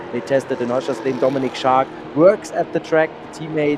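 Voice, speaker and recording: The speaker has a German accent and fairly even intonation at a moderate pace. Noticeable background noise is audible. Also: man. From Germany, Frankfurt am Main. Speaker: motorsport co-commentator. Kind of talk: live commentary.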